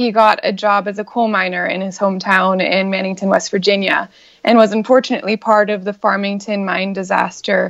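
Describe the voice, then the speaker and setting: With a normal speaking voice, a woman talks at a fairly quick pace, her medium pitch held to fairly even intonation. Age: 30s. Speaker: congressional candidate and comedian. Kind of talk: interview.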